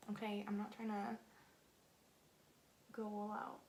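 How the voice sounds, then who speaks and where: At a fairly slow pace, a woman speaks amid audible room echo. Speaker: beauty vlogger. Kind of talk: casual makeup chat to camera.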